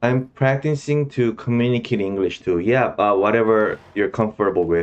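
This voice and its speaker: A man with a Korean accent speaks at a very even loudness. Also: medium pitch for a man, ordinary pitch variation, moderate pace. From South Korea. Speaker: gaming streamer. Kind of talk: gameplay commentary. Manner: halting, with many fillers.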